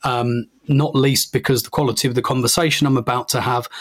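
A man with an English accent, medium in pitch, at a fairly quick pace. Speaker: podcast host. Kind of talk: podcast intro monologue. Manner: halting, many fillers.

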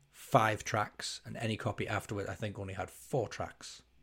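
A man talks at a moderate pace in a somewhat breathy voice. The recording is very clean, with a silent background. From northeast England, County Durham. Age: 30s. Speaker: podcast host. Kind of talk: casual chat.

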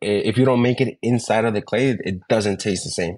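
A man with a normal speaking voice talks at a moderate pace and medium pitch, with fairly even intonation over a quiet background. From New York, raised; born in Ecuador. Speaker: bartender, bar creative director. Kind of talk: interview. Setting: remote call.

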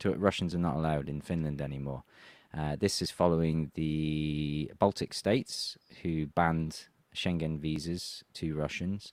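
In a very clean recording with a silent background, a man with an English accent speaks at a moderate pace in a very deep, low pitch with fairly even intonation. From England. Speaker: political commentator. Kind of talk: interview.

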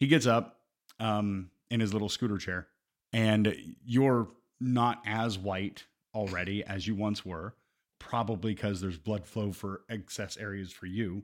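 An ordinary speaking voice from a man, fairly low in pitch with fairly even intonation, on a very clean recording with a silent background. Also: fairly slow pace. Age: 40s. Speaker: podcast co-host. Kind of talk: casual chat.

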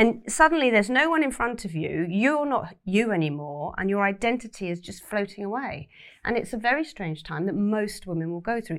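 Speaking at a fairly quick pace with very wide pitch swings, a woman at a medium pitch comes through in a very clean recording with a silent background. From Cornwall, England. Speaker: journalist and author. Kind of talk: interview conversation.

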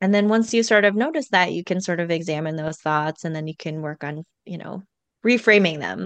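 A woman with an unremarkable speaking voice talks at a fairly quick pace with ordinary pitch variation and big swings in loudness. The sound is dry and close with no echo over a quiet background. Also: fairly low pitch for a woman. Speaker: podcast coach. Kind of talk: casual interview chat.

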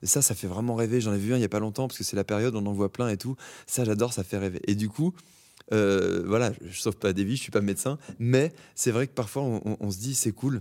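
Delivered at a very fast pace, the voice has a dark, mellow tone and ordinary pitch variation on a very clean recording with a silent background. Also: man, fairly low pitch for a man. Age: 30s. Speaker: actor. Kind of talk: casual interview. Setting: theatre stage. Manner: halting, many repetitions.

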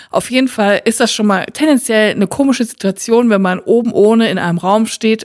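A woman's unremarkable speaking voice, fairly high in pitch, at a fairly quick pace. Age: 30s. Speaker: podcast co-host. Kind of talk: casual chat.

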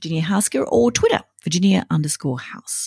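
An Australian accent colors a woman's somewhat breathy speech. Her intonation is lively, and the sound is dry and close with no echo. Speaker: podcast host. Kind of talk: scripted intro; interview.

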